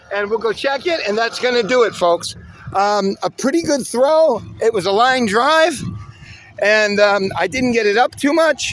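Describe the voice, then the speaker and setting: An extremely high-pitched man's voice at a fairly slow pace, with lively intonation over noticeable background noise. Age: 60s. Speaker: disc golf hobbyist video host. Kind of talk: casual outdoor demonstration vlog. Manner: halting, many fillers.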